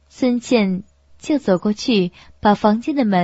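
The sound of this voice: The speaker uses an unforced reading voice. It carries through the whole clip.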